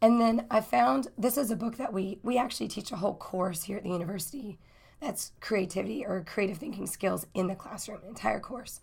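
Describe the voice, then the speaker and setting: A woman's medium-pitched voice with vocal fry, lively intonation and a fairly quick pace. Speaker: university instructor. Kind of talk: recorded course overview. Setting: recorded lecture video. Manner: casual, filler-heavy.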